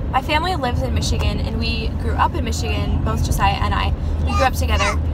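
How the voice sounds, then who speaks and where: Over loud background noise, a woman talks at a moderate pace. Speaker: mom vlogger. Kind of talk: casual vlog chat. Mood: excited, sharing news. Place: car. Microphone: phone near.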